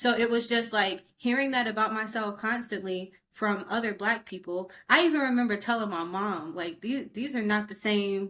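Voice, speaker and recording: Barely pausing, a woman with an American accent talks in a fairly high pitch with a bright, sharp tone. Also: ordinary pitch variation, moderate pace. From US South, rural North Carolina. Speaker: podcast co-host, clinician. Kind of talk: casual chat. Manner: proper.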